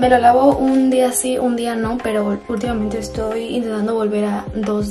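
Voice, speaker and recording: Clear music plays in the background. A woman speaks over it at a moderate pace. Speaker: lifestyle vlogger. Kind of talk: casual vlog chat. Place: bathroom. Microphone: phone near.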